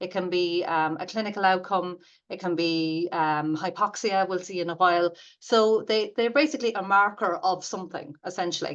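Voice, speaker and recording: In an Irish accent, a woman speaks at a moderate pace with a medium pitch and ordinary pitch variation. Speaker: radiation therapy academic. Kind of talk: lecture. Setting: webinar. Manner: hesitant, many fillers.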